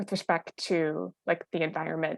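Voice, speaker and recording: A woman's normal speaking voice in a Canadian accent, with a fairly low pitch and a moderate pace. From British Columbia, Squamish Nation. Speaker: journalist. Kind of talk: panel talk.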